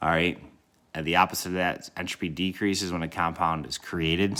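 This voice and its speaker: A man with a very deep, low pitch and a bright, sharp tone speaks at a fairly quick pace in a monotone, flat intonation. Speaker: chemistry teacher. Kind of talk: recorded lesson. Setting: recorded video for students. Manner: fast; casual, filler words.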